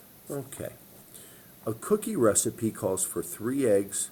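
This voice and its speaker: With a dark, mellow tone and some breathiness, a man talks at a fairly slow pace, his pitch swinging very widely. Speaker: math teacher. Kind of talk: tutorial.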